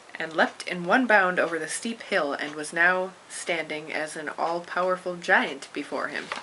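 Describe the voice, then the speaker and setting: A quiet woman with fairly low pitch and ordinary pitch variation talks at a moderate pace with hardly any pauses, her loudness swinging widely over noticeable background noise. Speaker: amateur storyteller reading to a friend. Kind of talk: reading aloud; casual chat.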